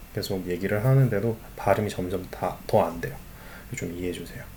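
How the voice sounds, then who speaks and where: A man speaks. His pace is moderate. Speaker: school teacher. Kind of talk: online lecture.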